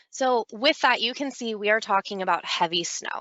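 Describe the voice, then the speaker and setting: A woman with an ordinary speaking voice, ordinary pitch variation and a moderate pace. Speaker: business development manager, snow retention presenter. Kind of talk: webinar presentation.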